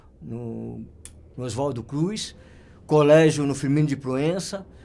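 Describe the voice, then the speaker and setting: This man's voice sits at a fairly high pitch with a dark, mellow tone and ordinary pitch variation. Audible room echo surrounds it. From São Paulo, Brazil (north zone). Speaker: photographer. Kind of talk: interview storytelling. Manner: halting, many fillers and repetitions.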